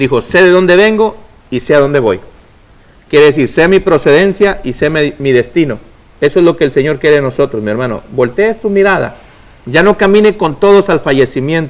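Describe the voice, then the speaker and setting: A man talks at a fairly quick pace. His fairly high pitch rises and falls in lively intonation. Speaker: preacher and radio host. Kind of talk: preaching on a religious call-in program. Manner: fast; loud.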